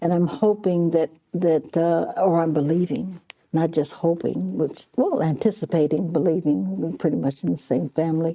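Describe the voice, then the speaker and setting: An American accent at a moderate pace, with very even loudness and ordinary pitch variation. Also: woman, fairly low pitch for a woman. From Ohio (Columbus). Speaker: military veteran. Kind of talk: interview testimony. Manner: halting.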